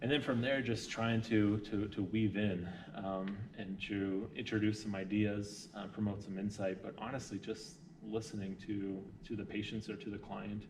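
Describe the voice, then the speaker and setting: Noticeable background noise and audible room echo surround a man speaking in a fairly low pitch with fairly even intonation. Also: moderate pace. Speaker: hospital social worker. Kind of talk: interview.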